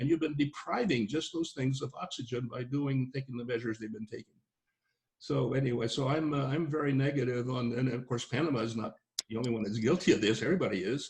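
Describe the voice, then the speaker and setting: At a very fast pace, a man with a medium pitch and a somewhat breathy voice speaks with ordinary pitch variation. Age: 80s+. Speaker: expat interviewee. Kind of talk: casual chat. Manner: halting, repetitive.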